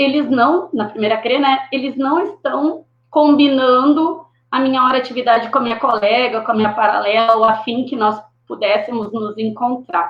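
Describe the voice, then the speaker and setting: A woman with a high voice talks at a moderate speed, her pitch moving in an ordinary way. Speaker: schoolteacher. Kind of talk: panel discussion on live stream.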